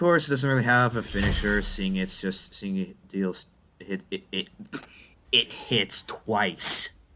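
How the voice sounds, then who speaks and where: Big swings in loudness at a fairly slow pace, over noticeable background noise. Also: man, medium pitch for a man, lively intonation. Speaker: gaming youtuber. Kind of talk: gameplay commentary. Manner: stuttering, halting; casual, conversational.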